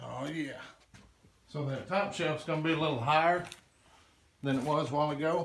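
A man with a fairly high pitch and a fairly bright tone talks at a moderate pace with vocal fry and ordinary pitch variation, and audible room echo surrounds his voice.

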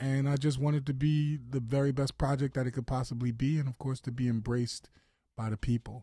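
A man's medium-pitched, somewhat breathy voice with a dark, mellow tone, fairly quick and monotone, in a dry, echo-free recording over a quiet background. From Philadelphia. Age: 40s. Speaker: singer. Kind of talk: interview. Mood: earnest, reflective. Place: studio. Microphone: studio mic.

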